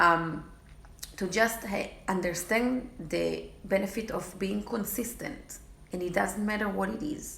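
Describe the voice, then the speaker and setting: A woman with a non-native accent speaks at a medium pitch and a fairly slow pace, with fairly even intonation. There is audible room echo and noticeable background noise. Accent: foreign. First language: not English. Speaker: fitness challenge group coach. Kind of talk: casual vlog talk to followers. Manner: halting, with many fillers.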